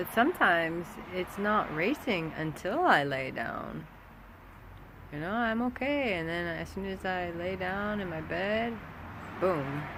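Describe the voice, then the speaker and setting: A soft-spoken woman with a medium pitch talks fairly slowly, leaving long, frequent pauses. Her intonation is lively, and the room echo is audible. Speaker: vlogger. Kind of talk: casual vlog monologue. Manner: halting.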